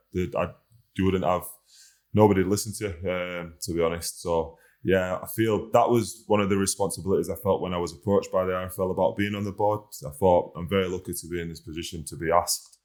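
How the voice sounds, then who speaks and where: In a northern English accent, a man with a very deep, low pitch talks at a very fast pace on a very clean recording with a silent background. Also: fairly even intonation. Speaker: rugby league player, team captain. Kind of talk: podcast interview. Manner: halting, many fillers.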